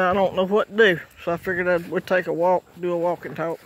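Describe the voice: A man talks fairly quickly in a high pitch, his tone fairly bright and his pitch moving little.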